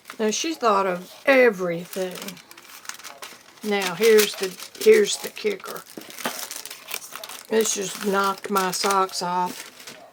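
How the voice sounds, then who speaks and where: Over noticeable background noise, a woman at medium pitch speaks at a very slow pace with long, frequent pauses and fairly even intonation. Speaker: art teacher and YouTuber. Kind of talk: casual vlog, showing mail.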